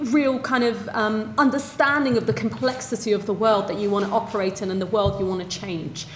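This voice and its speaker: Fairly quick speech from a fairly high-pitched woman, with audible room echo and noticeable background noise. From Sweden, then England from 13. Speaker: social entrepreneur. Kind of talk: panel debate answer.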